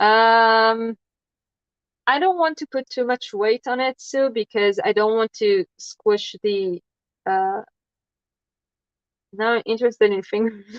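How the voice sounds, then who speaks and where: A woman talks at a very slow pace with long, frequent pauses. She has a non-native accent and a fairly high pitch. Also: dry, close sound with no echo. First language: not English. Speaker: crafting livestreamer. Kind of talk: casual livestream chat while crafting. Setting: livestream. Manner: hesitant, many fillers.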